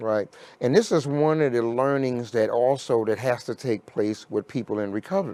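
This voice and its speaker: Over a silent background on a very clean recording, a man with an American accent speaks at a moderate pace, his medium pitch and dark, mellow tone carrying ordinary pitch variation. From New York City (Harlem). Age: 60s. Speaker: recovery organization leader. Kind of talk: interview conversation. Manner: halting, many fillers.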